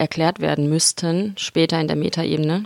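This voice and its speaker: In a dry, close recording with no echo, a woman talks at a fairly quick pace with a fairly low pitch and monotone, flat intonation. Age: 20s. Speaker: musician and theology student. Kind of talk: casual chat. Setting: studio.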